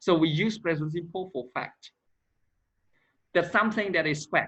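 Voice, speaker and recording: A man with a non-native accent, high-pitched, with ordinary pitch variation and a moderate pace. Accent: non-native English pronunciation. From Cambodia. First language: Khmer. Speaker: English teacher. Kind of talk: grammar lesson.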